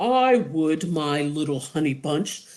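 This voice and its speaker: Someone puts on a character voice at a middle pitch and a fairly slow pace. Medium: read story.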